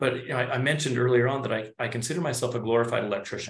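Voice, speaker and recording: Speaking at a very fast pace, a man talks in a somewhat breathy voice at a medium pitch. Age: 40s. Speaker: chiropractor. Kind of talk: conversational explanation and role play.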